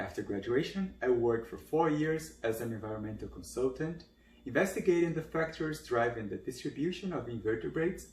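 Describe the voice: The intonation is lively and the tone slightly mellow. The pace is moderate. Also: man.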